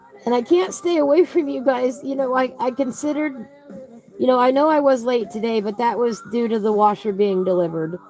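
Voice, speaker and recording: A high-pitched woman is talking. There is noticeable background noise. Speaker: coloring livestream host. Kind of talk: casual chat while coloring. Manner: relaxed, slow-paced.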